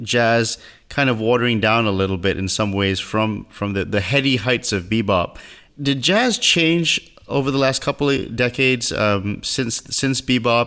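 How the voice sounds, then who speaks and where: Speaking at a moderate pace, a man with a Singaporean accent has a medium pitch, a bright, sharp tone and ordinary pitch variation. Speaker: podcast host. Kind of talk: interview.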